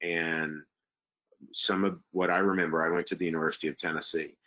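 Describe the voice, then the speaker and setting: Very deep, low-pitched male voice with a Southern US accent, a fairly quick pace and fairly even intonation. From US South, Texas. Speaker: university international admissions administrator. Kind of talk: webinar presentation with Q&A. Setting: online webinar. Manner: hesitant, many fillers.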